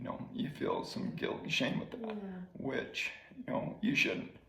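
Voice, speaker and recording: Moderately paced talk from a man against noticeable background noise. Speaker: former teacher and coach living with ALS. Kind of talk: interview answer.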